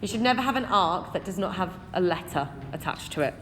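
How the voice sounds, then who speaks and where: With an English accent, a woman talks at a moderate pace, her pitch swinging very widely. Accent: English accent (self-described). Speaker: maths teacher. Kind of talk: exam walkthrough tutorial. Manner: conversational, addresses students directly.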